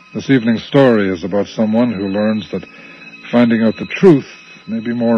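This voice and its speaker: A man at medium pitch and moderate pace, fairly even in intonation, with music in the background. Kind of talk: scripted radio announcer intro and cast credits. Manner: smooth, inviting, teasingly ominous, then brisk and matter-of-fact for credits.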